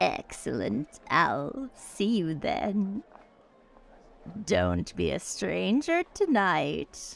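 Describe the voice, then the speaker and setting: In a put-on character voice, a woman talks at a very slow pace on a very clean recording with a silent background. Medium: actual play. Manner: genteel, insistent.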